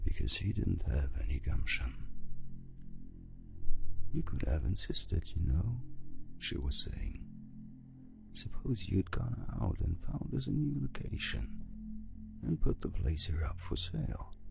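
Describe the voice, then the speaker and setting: Over music in the background, the speech moves at a fairly slow pace with long, frequent pauses. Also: man. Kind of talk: audiobook reading.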